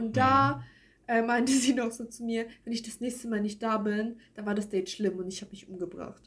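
Her voice somewhat breathy and fairly high in pitch, a woman talks at a moderate pace with ordinary pitch variation and big swings in loudness. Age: 20s. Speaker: podcast co-host. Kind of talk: casual chat.

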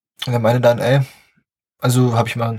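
Very fast and somewhat breathy, a man rushes through his words. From southern Brandenburg, eastern Germany. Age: young. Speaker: podcast host, business student. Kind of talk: casual solo podcast monologue.

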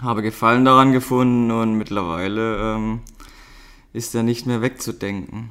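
This man has a medium pitch. His intonation remains fairly even. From Baden, southwest Germany. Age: 30s. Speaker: amateur strength athlete, host's partner. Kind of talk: casual chat.

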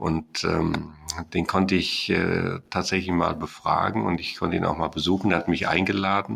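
A man with a very deep, low pitch and vocal fry talks at a moderate pace. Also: ordinary pitch variation. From Germany, Sauerland. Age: 60s. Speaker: mathematics professor. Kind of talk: interview. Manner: hesitant, many filler sounds.

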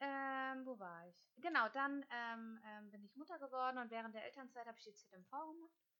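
A woman's high, bright, sharp voice at a moderate pace, with ordinary pitch variation, big swings in loudness and hardly any pauses. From northern Germany, Hamburg. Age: 30s. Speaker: dental practice management consultant. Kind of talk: solo podcast monologue. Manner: hesitant with many fillers.

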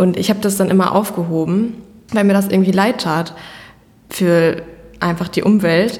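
Using a normal speaking voice, a woman talks at a moderate pace and medium pitch. Her intonation is fairly even. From Germany, Iserlohn. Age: 20s. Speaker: fashion brand founder. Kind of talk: interview conversation. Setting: office.

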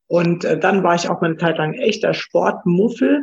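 Vocal fry runs through a woman's very slow speech, which has lively intonation. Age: 40s. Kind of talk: interview.

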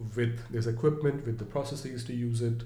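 A man talks at a medium pitch and moderate pace, his tone dark, mellow and somewhat breathy. Room echo is audible. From India, Mumbai. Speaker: edtech startup founder. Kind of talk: interview. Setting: in person.

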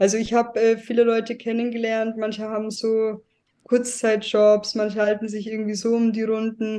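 Intonation stays monotone and flat while the tone sounds dark and mellow. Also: woman, fairly high pitch for a woman, moderate pace. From Germany. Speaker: guest, emigrant to Thailand. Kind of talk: interview.

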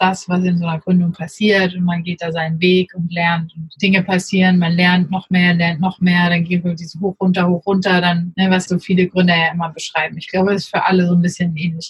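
A woman's somewhat breathy voice at a medium pitch and a fairly quick pace. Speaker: startup co-founder, social media agency. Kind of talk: casual interview. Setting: remote recording.

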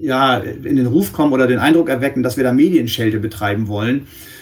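A man's voice, a plain, everyday voice, holds a medium pitch, ordinary pitch variation and a moderate speed. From northwestern Germany. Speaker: press spokesman and journalist for a victim support organisation. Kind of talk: interview.

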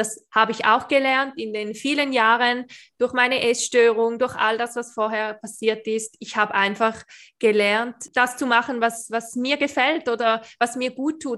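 At a moderate pace, a woman talks in a bright, sharp tone, her fairly high pitch held in fairly even intonation. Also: very clean recording, silent background. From Switzerland. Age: 20s. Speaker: beautician and awareness coach. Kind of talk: interview, personal testimony.

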